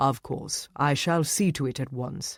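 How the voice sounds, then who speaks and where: This put-on character voice sits at a low-to-middle pitch and moves at a moderate pace. The recording is very clean, with a silent background. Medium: read story. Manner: formal, polite.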